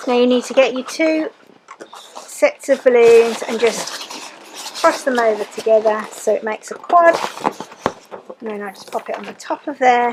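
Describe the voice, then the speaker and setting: Pausing long and often at a moderate pace, a woman with a high voice shows ordinary pitch variation over noticeable background noise. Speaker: balloon artist. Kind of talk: craft tutorial voiceover.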